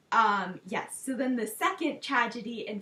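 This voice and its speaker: The speaker has a German accent. The pitch varies in an ordinary way. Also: woman. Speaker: language tutor. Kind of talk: educational talk. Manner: casual with frequent fillers.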